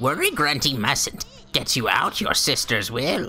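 A put-on character voice at a low-to-middle pitch and fairly slow pace, with clear music in the background. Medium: game stream. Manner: inverted word order, scheming.

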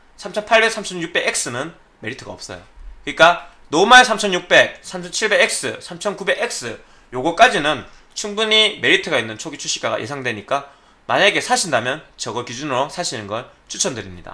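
The voice has a bright, sharp tone and moves at a fairly slow pace, with big shifts in loudness and very wide swings in pitch. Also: man, high pitch for a man. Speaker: PC hardware YouTuber; tech commentator. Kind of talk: solo commentary video. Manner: careful articulation. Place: home room.

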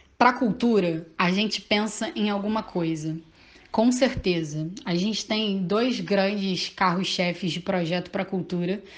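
Her pace is fairly slow. This woman's pitch shows ordinary variation. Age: 20s. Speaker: teacher and local political candidate; candidate, teacher. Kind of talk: interview.

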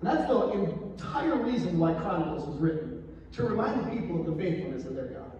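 With very wide pitch swings and a fairly quick pace, the voice carries strong room echo and light background noise. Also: man, high pitch for a man. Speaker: pastor. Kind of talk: sermon. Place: church.

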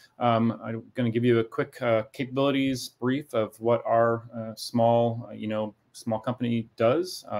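The voice belongs to a man. The intonation is fairly even. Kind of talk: business presentation. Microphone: video call.

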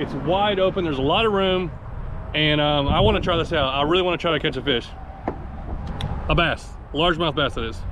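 Noticeable background noise sits behind a man talking at a fairly quick pace. His pitch varies in an ordinary way, and the sound is dry with no echo. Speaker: fishing vlogger. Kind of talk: casual vlog chat. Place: street. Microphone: phone near.

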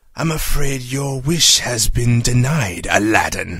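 A fairly slow male voice, its pitch varying an ordinary amount. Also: medium pitch for a man. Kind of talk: comic parody voice acting. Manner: pompous, sneering.

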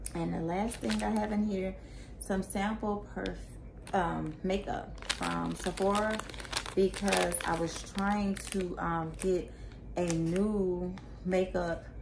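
A woman talks very slowly as noticeable background noise goes on around her. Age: 40s. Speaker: YouTuber, handbag reviewer. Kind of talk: product review vlog. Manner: casual, with frequent fillers and laughs. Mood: pleased, relaxed. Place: home room. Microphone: phone near.

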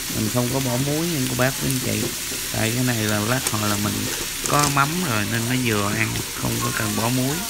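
Speech comes at a fairly quick pace with music playing in the background. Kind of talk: cooking tutorial narration. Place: kitchen. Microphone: phone near.

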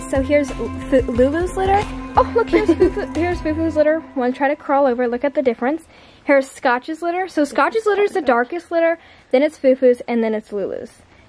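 Over music in the background, a woman talks at a fairly quick pace with a high pitch and lively intonation. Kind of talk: casual vlog chat. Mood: delighted, soft, giggly. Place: home room. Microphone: phone near.

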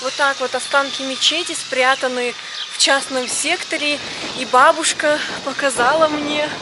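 A woman speaks at a fairly slow pace over loud background noise, the sound dry with no echo. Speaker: travel vlogger. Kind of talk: casual vlog chat. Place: street. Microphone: phone near.

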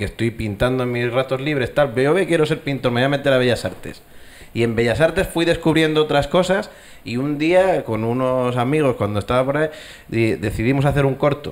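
A man with an ordinary speaking voice, medium pitch, lively intonation and a fairly quick pace. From Castilla y León, Spain. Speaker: animation studio co-founder; panelist. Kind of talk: panel discussion. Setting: stage with audience. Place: hall. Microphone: handheld.

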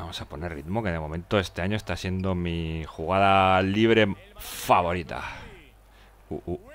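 This man's voice is very deep and low, with fairly even intonation and a moderate pace. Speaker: gaming streamer. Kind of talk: live gameplay commentary. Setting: live stream. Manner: halting.

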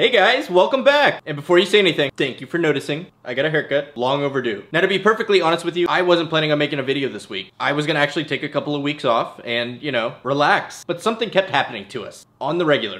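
At a very fast pace, a man speaks with hardly any pauses. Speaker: family vlogger. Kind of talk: casual vlog chat. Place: home room.

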